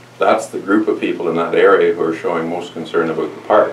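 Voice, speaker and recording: A fairly quick voice with a Canadian accent, audible room echo and light background noise. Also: man. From Ontario. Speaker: mayor and election candidate; mayor, election candidate. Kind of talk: campaign speech to supporters. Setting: church hall with audience. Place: hall.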